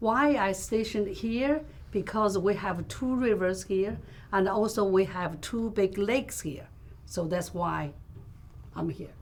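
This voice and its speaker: In a Chinese accent, a woman talks at a medium pitch and a fairly slow pace, with ordinary pitch variation and audible room echo. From China. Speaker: fish processing business owner. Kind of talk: interview.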